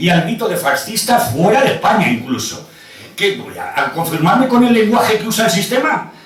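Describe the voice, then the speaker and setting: A man speaks with an animated tone and lively intonation at a high pitch. Noticeable background noise and audible room echo surround his voice. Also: moderate pace. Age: 60s. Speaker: audience member. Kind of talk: heated debate.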